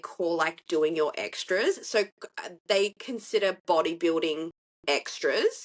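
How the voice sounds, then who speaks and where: Speaking in an Australian accent, a woman sounds animated in tone. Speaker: bikini athlete and CrossFit competitor. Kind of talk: casual chat.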